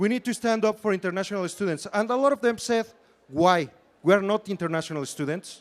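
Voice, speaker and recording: A man with a Spanish accent and a high pitch. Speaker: student election candidate. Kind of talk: campaign debate speech. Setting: stage with audience.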